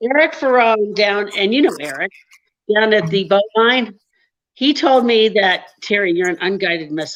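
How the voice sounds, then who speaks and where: A woman speaks in a plain, everyday voice at a medium pitch. Her pace is moderate and her intonation lively. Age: 60s. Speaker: comedian. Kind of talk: casual chat.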